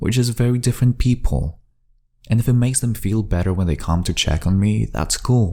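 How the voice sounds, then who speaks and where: A man with a non-native accent speaks in a dark, mellow tone with lively intonation. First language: not English. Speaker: amateur fiction writer and storyteller. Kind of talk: first-person journal-style story reading. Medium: read story.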